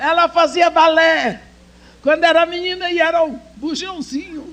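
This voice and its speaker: A woman speaks at a fairly slow pace with an extremely high pitch and fairly even intonation. Noticeable background noise sits behind her. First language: English (speaking Portuguese). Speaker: speaker at women's church conference. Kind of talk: sermon.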